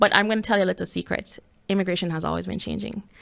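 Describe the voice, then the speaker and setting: A woman speaks in a Jamaican accent with vocal fry. The recording is very clean, with a silent background. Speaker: podcast host. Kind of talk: podcast monologue.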